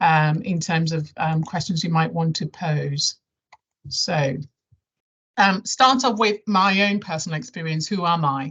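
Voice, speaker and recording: A woman with a southern English accent speaks at a fairly slow pace. Her pitch is fairly low, with ordinary variation. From London area, England (born Nigeria, moved at 11). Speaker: health service chief executive. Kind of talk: presentation to staff. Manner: hesitant, many fillers.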